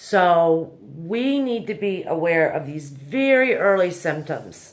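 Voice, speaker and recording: Her pitch fairly low, a woman speaks very slowly with very wide pitch swings. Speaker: anxiety self-help video host. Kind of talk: tutorial. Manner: casual, conversational.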